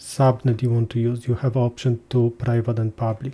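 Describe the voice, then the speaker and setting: A man with a dark, mellow tone and a somewhat breathy voice speaks at a moderate pace. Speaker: cloud database tutorial presenter. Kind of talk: tutorial. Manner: hesitant, many filler sounds.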